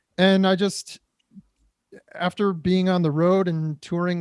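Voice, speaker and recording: Speaking fairly slowly with a Midwestern American accent, a man uses a high pitch and fairly even intonation, heard dry and close with no echo on a very clean recording with a silent background. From Detroit area, Michigan. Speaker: actor and drummer. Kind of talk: interview conversation.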